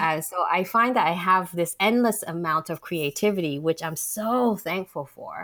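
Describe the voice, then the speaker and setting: A woman talks with hardly any pauses. Her pitch varies in an ordinary way. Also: medium pitch for a woman, moderate pace. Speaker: novelist and arts director. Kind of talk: casual interview.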